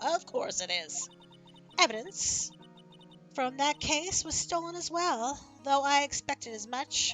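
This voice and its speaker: A woman does a put-on character voice at a high pitch, with very wide pitch swings and a moderate pace, as clear music plays in the background. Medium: game stream. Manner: calm, measured, restrained.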